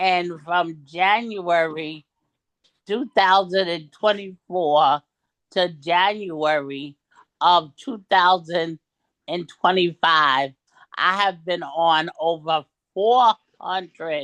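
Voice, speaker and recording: A woman's bright, sharp voice at a very slow pace, with long, frequent pauses and ordinary pitch variation. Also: fairly low pitch for a woman, dry, close sound with no echo. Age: 60s. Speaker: ordained minister and motivational speaker. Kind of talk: testimony.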